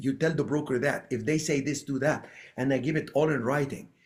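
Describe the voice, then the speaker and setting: A man with an Arabic accent talks at a fairly quick pace in a fairly high pitch. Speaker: real estate investor. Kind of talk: podcast interview.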